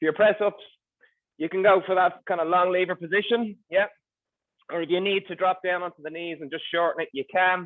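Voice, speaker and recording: At a fairly quick pace, a man with an Irish accent speaks in a high pitch with fairly even intonation. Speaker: personal trainer. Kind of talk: tutorial.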